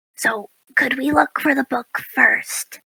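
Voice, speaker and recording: This put-on character voice is raspy and fairly high in pitch. It moves at a fairly slow pace. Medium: actual play. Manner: earnest, literal, slightly awkward.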